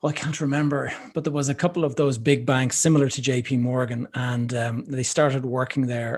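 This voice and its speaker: A man speaks with an Irish accent at a medium pitch. His intonation is fairly even and his pace fairly quick. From Ireland. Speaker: podcast host. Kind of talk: podcast interview.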